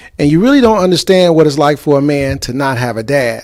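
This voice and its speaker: A normal speaking voice from a man, fairly high in pitch, with ordinary pitch variation. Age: 50s. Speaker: talk show host. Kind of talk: casual chat.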